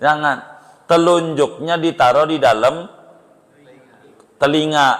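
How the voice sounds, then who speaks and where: A man speaks at a very slow pace. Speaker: Islamic preacher. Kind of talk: religious lesson. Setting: religious gathering with audience. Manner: casual.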